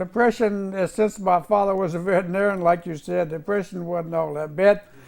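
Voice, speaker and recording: At a fairly quick pace, a man speaks in a high pitch with fairly even intonation. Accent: Virginia. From US South, Virginia (Roanoke area). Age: 80s+. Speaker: war veteran. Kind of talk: oral history interview. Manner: halting.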